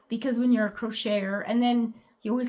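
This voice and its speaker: A moderate pace carries the speech. There is a somewhat breathy quality to it. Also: woman. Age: 60s. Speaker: crochet vlogger. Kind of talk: casual chat. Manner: hesitant, many fillers.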